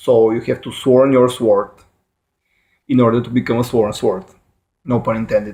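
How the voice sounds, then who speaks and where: A man with a Bulgarian accent speaks at a moderate pace in a dark, mellow, medium-pitched voice. His delivery is monotone and flat, broken by long, frequent pauses. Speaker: YouTuber explaining fictional lore. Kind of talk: casual explainer monologue. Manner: halting, many fillers and self-corrections.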